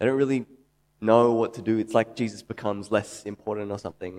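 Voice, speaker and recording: A man speaks with an Australian accent at a fairly quick pace. His voice has a medium pitch and ordinary pitch variation. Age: 30s. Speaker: preacher. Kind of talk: sermon.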